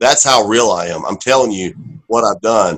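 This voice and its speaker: A plain, everyday voice with an American accent speaks at a moderate pace with ordinary pitch variation. The recording is very clean, with a silent background. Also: man. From Oklahoma. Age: 30s. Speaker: professional wrestler. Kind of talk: casual chat.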